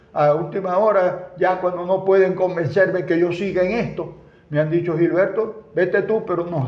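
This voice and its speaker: Over noticeable background noise and audible room echo, a man talks at a moderate pace in a high voice with fairly even intonation. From Venezuela, Zulia (Maracaibo). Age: 80s+. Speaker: former politician and engineer. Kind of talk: interview.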